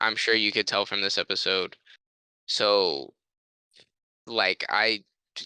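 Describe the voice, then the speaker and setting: A man with a fairly low pitch and a bright, sharp tone speaks at a very slow pace, leaving long, frequent pauses in fairly even intonation. The sound is dry and close with no echo, over a quiet background. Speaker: podcast co-host. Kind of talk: casual chat. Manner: monotone.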